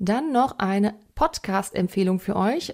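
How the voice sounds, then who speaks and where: On a very clean recording with a silent background, a woman speaks in a normal speaking voice at a medium pitch with ordinary pitch variation. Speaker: podcast host. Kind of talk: interview; scripted narration.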